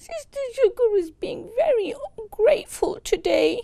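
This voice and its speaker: A woman uses a put-on character voice pitched extremely high. She talks at a fairly slow pace with lively intonation. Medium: read story.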